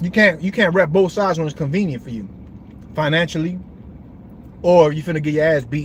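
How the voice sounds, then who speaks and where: Somewhat breathy, a man speaks in a fairly high pitch. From Brooklyn, New York. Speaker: livestream host. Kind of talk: casual livestream talk. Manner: animated.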